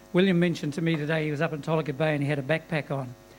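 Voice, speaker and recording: The speaker talks at a very fast pace in a New Zealand accent. The intonation stays fairly even. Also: man. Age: 60s. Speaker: audience member. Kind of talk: audience question.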